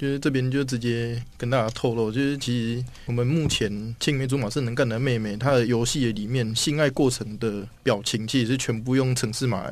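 Fairly even intonation from a man who takes hardly any pauses, with audible room echo. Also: medium pitch for a man, moderate pace. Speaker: software engineer. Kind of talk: casual interview chat.

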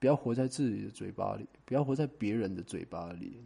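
A man speaks very fast in a dark, mellow tone with vocal fry. His pitch varies in an ordinary way over a quiet background. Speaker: talent agent and podcast host. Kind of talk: solo monologue. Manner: casual, with many fillers.

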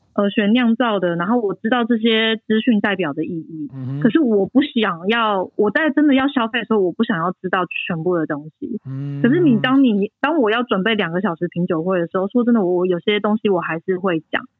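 With an ordinary speaking voice, a woman of medium pitch talks with lively intonation and hardly any pauses. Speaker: winemaker. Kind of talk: casual interview. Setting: remote call from France.

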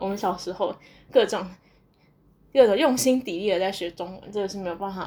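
Her pitch sits at a medium level with ordinary variation. The woman keeps a fairly quick pace. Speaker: podcaster and graduate student abroad. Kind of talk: casual solo monologue. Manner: hesitant with many fillers.

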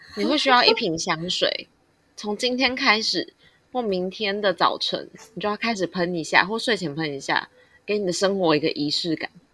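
A woman talks at a moderate pace in a normal speaking voice, her intonation lively. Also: medium pitch for a woman. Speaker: podcast co-host. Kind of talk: casual chat.

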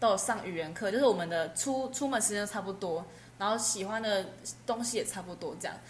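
Somewhat breathy, a woman talks at a fairly quick pace with ordinary pitch variation in a room with audible echo. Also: medium pitch for a woman. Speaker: university student. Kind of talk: casual chat.

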